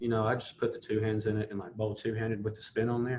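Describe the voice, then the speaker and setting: At a very fast pace, a man of medium pitch speaks somewhat breathily. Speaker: college basketball player. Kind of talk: casual podcast interview.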